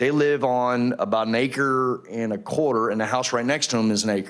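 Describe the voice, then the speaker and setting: A man speaks at a medium pitch and a moderate pace. His loudness stays very even and his intonation fairly even. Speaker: retired Marine, resident speaking at public hearing. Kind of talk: public comment at council hearing. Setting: city council chambers.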